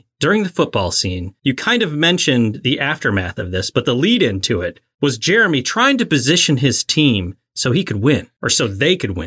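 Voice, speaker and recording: On a very clean, silent recording with a dry, close sound and no echo, a man with an American accent speaks at a moderate pace in a bright, sharp tone, with vocal fry and very wide pitch swings. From northern US. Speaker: podcast co-host. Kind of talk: casual chat.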